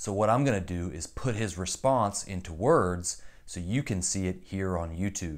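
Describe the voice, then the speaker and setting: In a normal speaking voice, a man speaks at a fairly low pitch over a quiet background. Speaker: youtuber. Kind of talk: commentary. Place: home room.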